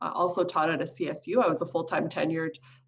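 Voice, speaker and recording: A woman with a Californian accent talks at a very fast pace in a fairly low pitch. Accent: American (California). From Afghanistan, raised in California from childhood. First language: not English. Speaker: community college administrator. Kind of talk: interview.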